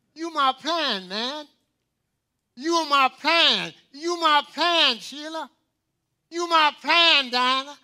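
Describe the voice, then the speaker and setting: An extremely high-pitched man's raised, projected voice, bright and sharp in tone, at a very slow pace with long, frequent pauses and ordinary pitch variation. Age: 90s. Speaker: pastor. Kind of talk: sermon. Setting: church. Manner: animated.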